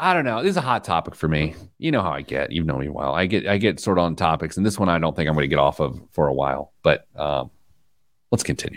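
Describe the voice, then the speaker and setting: In a very clean recording with a silent background, a man talks at a very fast pace in a very deep, low voice with vocal fry. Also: lively intonation. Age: middle-aged. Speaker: financial radio host. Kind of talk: casual chat.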